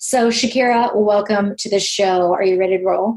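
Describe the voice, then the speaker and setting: A normal speaking voice, a woman at medium pitch, moderate pace, ordinary pitch variation. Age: 50s. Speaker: podcast host. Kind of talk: casual interview.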